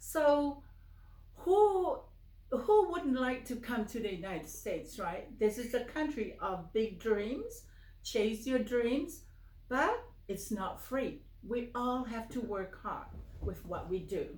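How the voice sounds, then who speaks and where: In a room with audible echo, a woman speaks at a very slow pace in a high pitch with very wide pitch swings. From Samoa. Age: 70s. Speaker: finance trainer. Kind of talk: casual interview. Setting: home office.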